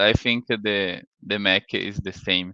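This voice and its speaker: A man speaks with a Brazilian accent. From Brazil, Santa Catarina. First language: Portuguese. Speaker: sales engineer. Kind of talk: conference talk. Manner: halting.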